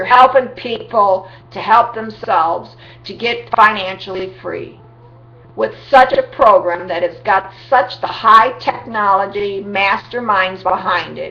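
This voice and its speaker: The woman talks fairly slowly while noticeable background noise runs beneath her. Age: 60s. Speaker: vlogger promoting a home business. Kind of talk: sales pitch. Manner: animated.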